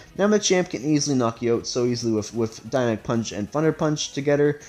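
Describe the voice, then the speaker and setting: A man's fairly high-pitched voice over music in the background. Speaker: gaming youtuber. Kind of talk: video game commentary. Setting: home recording room. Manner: halting, self-correcting; casual.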